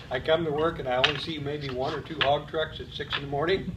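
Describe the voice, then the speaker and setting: Against noticeable background noise and audible room echo, a man with a fairly high pitch speaks at a moderate pace with fairly even intonation. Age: 70s. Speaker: waste company employee. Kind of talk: interview.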